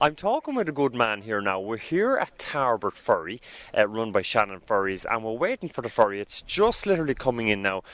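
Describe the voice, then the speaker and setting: A man's medium-pitched voice with an Irish accent, fairly quick and lively in intonation, dry and close with no echo. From Ireland, County Kildare. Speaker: radio documentary producer. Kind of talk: interview. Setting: outdoors at ferry pier.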